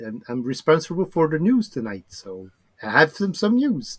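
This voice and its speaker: With a French accent, a man speaks in very wide pitch swings. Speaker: hobby builder, news presenter. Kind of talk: casual chat. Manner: halting.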